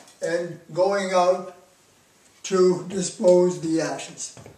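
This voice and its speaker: A man's high voice, very slow and flat in a monotone, with audible room echo. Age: 80s+. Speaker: physics professor. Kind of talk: product demonstration. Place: home room. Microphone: camera far.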